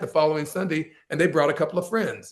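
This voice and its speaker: At a fairly quick pace, a man with a plain, everyday voice keeps his fairly high pitch fairly even in intonation. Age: 60s. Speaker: blues musician. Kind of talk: interview storytelling.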